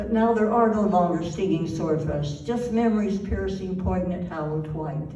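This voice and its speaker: With noticeable background noise behind her, a woman speaks at a moderate pace and a fairly low pitch with ordinary pitch variation. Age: 80s+. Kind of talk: poetry reading.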